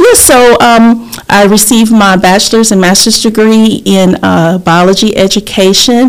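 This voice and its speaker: With a Southern US accent, a woman talks with hardly any pauses at a fairly high pitch, her loudness very even and her intonation fairly even, over noticeable background noise. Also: moderate pace. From US South. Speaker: insurance agent and community advocate. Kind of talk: casual interview.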